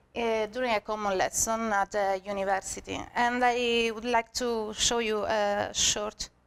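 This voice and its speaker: With a Sicilian accent, a woman speaks in a fairly high, monotone and flat voice, hardly pausing at all. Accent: Italian (Sicilian) accent, joked about. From Sicily, Italy. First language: Italian. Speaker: senior graphic designer, conference speaker. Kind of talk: conference talk. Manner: halting, many fillers.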